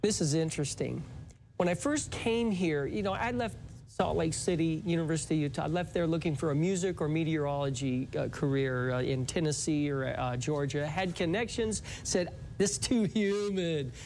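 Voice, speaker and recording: Audible room echo surrounds a man with a fairly high pitch. He speaks at a moderate pace with ordinary pitch variation. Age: 60s. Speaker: retired meteorologist and musician. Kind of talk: interview.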